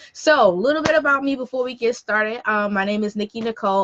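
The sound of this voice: Woman with an American accent, medium pitch, a bright, sharp tone, ordinary pitch variation and a fairly quick pace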